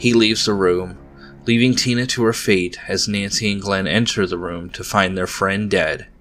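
Music plays in the background as a man speaks in a dramatic tone at a moderate pace. His pitch is fairly low, with fairly even intonation. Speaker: podcast host. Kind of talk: horror story narration. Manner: dramatic, suspenseful storyteller.

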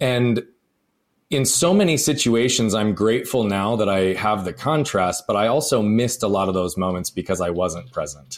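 Using a plain, everyday voice, a man talks at a moderate pace with fairly low pitch and lively intonation. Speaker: podcast host. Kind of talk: interview conversation.

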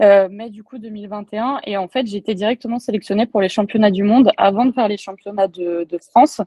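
A woman speaks at medium pitch in a dark, mellow tone, her intonation fairly even and her loudness swinging widely. She hardly pauses, and the sound is dry and close with no echo. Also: moderate pace. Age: 20s. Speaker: powerlifting athlete and coach. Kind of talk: interview. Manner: hesitant, many fillers.

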